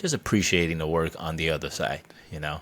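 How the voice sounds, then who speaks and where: This man's voice is very deep, with a low pitch. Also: very clean recording, silent background. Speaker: comedian and actor. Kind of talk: interview conversation. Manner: hesitant, many fillers.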